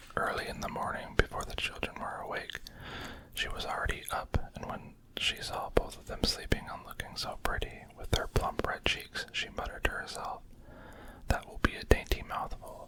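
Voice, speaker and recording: Whispering at a moderate pace comes through over noticeable background noise. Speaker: ASMR reader. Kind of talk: whispered ASMR storybook reading. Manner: whispered, soft-spoken.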